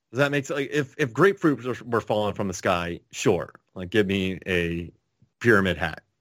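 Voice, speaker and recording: Against a silent background in a very clean recording, a man with a plain, everyday voice speaks at a moderate pace in a fairly low pitch with lively intonation. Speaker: podcast co-host. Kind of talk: casual chat.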